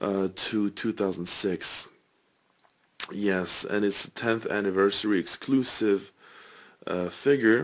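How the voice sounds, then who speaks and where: Quiet and fairly low-pitched, a man speaks at a very slow pace with long, frequent pauses. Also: ordinary pitch variation, very clean recording, silent background. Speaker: toy collector reviewer. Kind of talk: product review. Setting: home at night. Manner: quiet, subdued.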